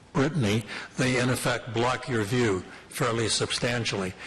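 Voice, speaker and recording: With noticeable background noise and audible room echo, a man talks at a moderate pace and medium pitch with fairly even intonation. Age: 60s. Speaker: local resident addressing city committee. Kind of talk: public delegation at council committee. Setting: city committee meeting room.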